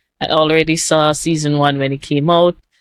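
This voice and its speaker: A woman with a Jamaican accent speaks at a very deep, low pitch. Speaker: YouTube reactor. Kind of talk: casual video intro to camera. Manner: frequent filler words, rambling.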